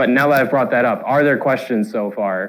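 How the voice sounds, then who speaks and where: At a moderate pace, a man speaks with medium pitch and ordinary pitch variation. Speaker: student club presenter. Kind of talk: lecture.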